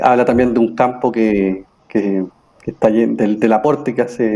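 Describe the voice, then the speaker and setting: The man's pitch sits fairly low, and his tone is dark and mellow. He keeps a moderate pace. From Chile, Santiago. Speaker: mediator and facilitator. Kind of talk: panel discussion.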